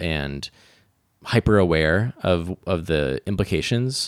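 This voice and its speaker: A man in a New York State accent, very deep and low in pitch, on a very clean recording with a silent background. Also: dry, close sound with no echo. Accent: US Northeast (New York State). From upstate New York (rural Hudson Valley). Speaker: interactive artist and film director. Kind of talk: interview conversation.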